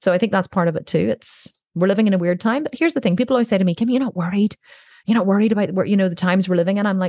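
A woman's medium-pitched, somewhat breathy voice with a dark, mellow tone and ordinary pitch variation, in a dry, close sound with no echo. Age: 40s. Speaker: entrepreneur. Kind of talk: interview.

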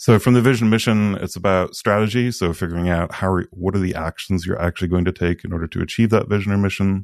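The speech moves at a fairly quick pace with ordinary pitch variation. The sound is dry and close with no echo, over a quiet background. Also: man. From Sweden. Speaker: product leader and community co-founder. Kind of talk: casual interview conversation.

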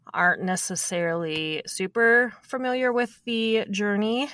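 A woman with a Minnesotan accent talks fairly slowly in a bright, sharp tone with ordinary pitch variation. The recording is very clean, with a silent background. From US Minnesota. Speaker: podcast host. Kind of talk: interview.

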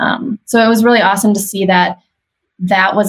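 A woman with a medium-pitched voice and vocal fry speaks with ordinary pitch variation. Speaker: creative team member. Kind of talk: interview chat.

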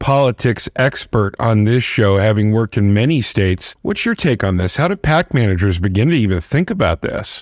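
This man speaks with an ordinary speaking voice at a medium pitch, moderate pace, lively intonation, very even loudness and hardly any pauses. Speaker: podcast co-host. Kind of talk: podcast interview. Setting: remote recording.

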